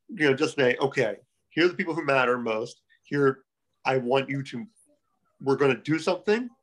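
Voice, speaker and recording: Moderate pace with an American accent, ordinary pitch variation, and long, frequent pauses. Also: man, fairly high pitch for a man. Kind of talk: casual chat, podcast interview.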